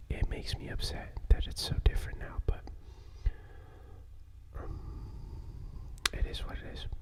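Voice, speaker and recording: Fairly slow whispering, with noticeable background noise. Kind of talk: ASMR storytime, casual talk to camera. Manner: soft-spoken, relaxing.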